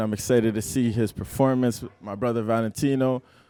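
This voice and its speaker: On a very clean recording with a silent background, a man's medium-pitched voice has a dark, mellow tone and a dry, close sound with no echo. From Cameroon. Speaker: musician. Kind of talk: interview. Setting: media day event venue.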